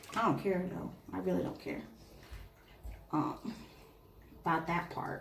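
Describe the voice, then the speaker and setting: Whispering at a fairly slow pace with long, frequent pauses, a woman is heard amid audible room echo and noticeable background noise. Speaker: tarot reader. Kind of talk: tarot reading. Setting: indoors by an open window. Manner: casual, chatty.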